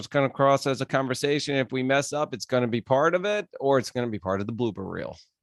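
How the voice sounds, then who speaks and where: A man talking at a fairly quick pace. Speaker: podcast host. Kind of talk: podcast interview. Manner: energetic.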